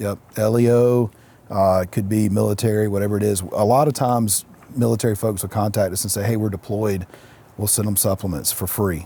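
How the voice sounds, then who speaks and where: Noticeable background noise surrounds a man with a fairly low pitch. He talks at a very fast pace. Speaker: entrepreneur, CEO. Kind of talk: interview answer. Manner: soft-spoken.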